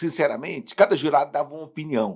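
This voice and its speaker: At a fairly quick pace, a man talks with vocal fry. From southern Brazil, Paraná. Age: 60s. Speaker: radio announcer and sports commentator. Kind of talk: casual interview chat.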